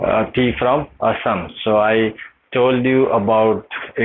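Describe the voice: Fairly even intonation shapes this plain reading aloud.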